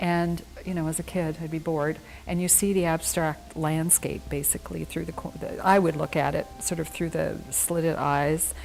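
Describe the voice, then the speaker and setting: Background music behind a woman's moderate-paced speech. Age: 60s. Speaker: painter. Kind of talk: interview.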